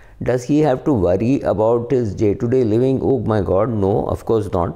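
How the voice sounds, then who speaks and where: Here a man speaks with a dark, mellow tone and lively intonation at a moderate pace. The background is quiet. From India. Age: 50s. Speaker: personal finance commentator; finance commentator. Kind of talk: solo talk to camera. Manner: hesitant, many fillers. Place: home room. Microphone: phone near.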